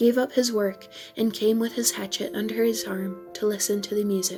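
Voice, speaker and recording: A soft-spoken woman at a moderate pace, with music in the background. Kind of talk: bedtime story reading.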